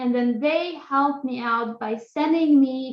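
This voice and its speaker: A high-pitched woman speaks in an Albanian accent, with ordinary pitch variation. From Kosovo. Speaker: graduate student. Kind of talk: lecture. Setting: video call.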